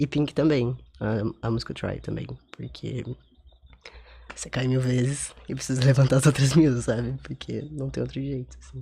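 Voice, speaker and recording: A soft-spoken man at a moderate pace, with long, frequent pauses and big swings in loudness. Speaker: guest on radio show. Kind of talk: casual interview chat.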